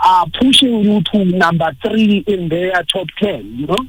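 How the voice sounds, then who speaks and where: Over noticeable background noise, a man speaks at a high pitch. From South Africa. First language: Zulu. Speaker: poet. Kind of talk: radio interview.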